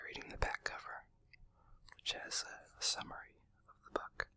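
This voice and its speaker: A man whispers at a moderate pace, leaving long and frequent pauses. His loudness swings widely, and there is noticeable background noise. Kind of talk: casual talk to camera. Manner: whispered.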